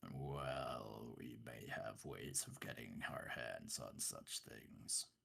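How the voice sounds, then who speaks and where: A man talks at a very slow pace. He uses a put-on character voice. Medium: actual play. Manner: plainspoken, gentle.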